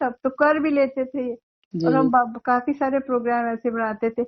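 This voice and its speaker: Her intonation fairly even, a woman talks in a high voice. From India. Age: 70s. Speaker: retired school librarian and teacher. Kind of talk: interview answer.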